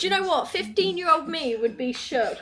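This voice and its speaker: A woman speaks at a fairly quick pace in an English accent. Music plays in the background. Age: 20s. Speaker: lifestyle vlogger and online coach. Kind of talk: casual chat while doing makeup. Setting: sitting on the floor at home. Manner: animated.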